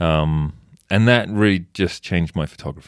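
On a very clean recording with a silent background, a man speaks in a very deep, low pitch with ordinary pitch variation. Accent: English. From England. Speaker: wildlife photojournalist. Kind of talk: casual interview.

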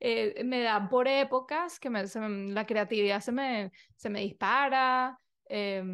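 A woman speaks at a very slow pace and high pitch. Her pitch varies in an ordinary way over a quiet background. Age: 30s. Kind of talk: casual monologue. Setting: video recording. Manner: animated.

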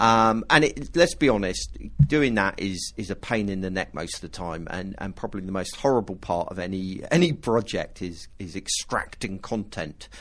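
At a moderate pace and a fairly low pitch, a man talks in an unremarkable speaking voice with lively intonation, big swings in loudness, and hardly any pauses. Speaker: podcast host. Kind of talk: casual chat.

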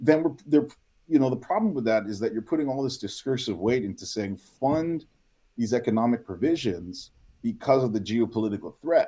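Speaking at a moderate pace, a man has a medium pitch, a dark, mellow tone and lively intonation. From Guam. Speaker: political science researcher. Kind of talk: casual chat.

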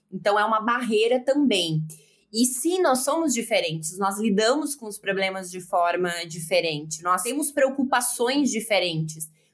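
Speaking at a fairly slow pace, a woman with a fairly high pitch makes very wide pitch swings and big swings in loudness. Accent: southern Brazilian. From Southern Brazil, Rio Grande do Sul (Porto Alegre). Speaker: sports journalist. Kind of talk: casual interview chat.

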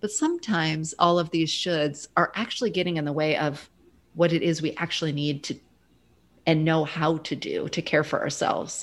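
The speaker has a plain, everyday voice with an American accent. Intonation stays fairly even. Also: woman, fairly low pitch for a woman, moderate pace. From US Midwest. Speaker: grief educator and former social worker. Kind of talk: casual interview conversation.

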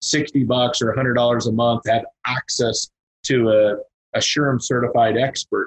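Somewhat breathy and at medium pitch, a man with an American accent speaks in a monotone, flat way, with very even loudness and a moderate pace. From Kansas. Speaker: payroll and merchant services consultant. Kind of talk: casual interview.

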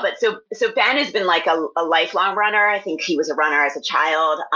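With an American accent, a woman speaks at a medium pitch. Her tone is bright and sharp, and her intonation is lively. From US, Philadelphia area. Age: 40s. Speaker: fiction writer. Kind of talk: casual interview.

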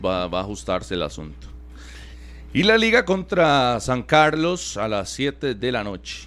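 A man's voice with vocal fry and very wide pitch swings. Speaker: sports radio co-host. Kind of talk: sports talk radio.

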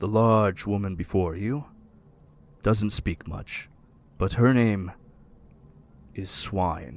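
In a put-on character voice, a man speaks at a fairly low pitch and a very slow pace, with long, frequent pauses. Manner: formal, calm.

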